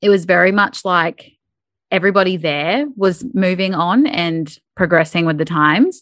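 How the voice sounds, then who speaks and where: With an Australian accent, a woman speaks at a moderate pace in a fairly low pitch with ordinary pitch variation, on a very clean recording with a silent background. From North Queensland, Australia. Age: 30s. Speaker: podcaster. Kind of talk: interview.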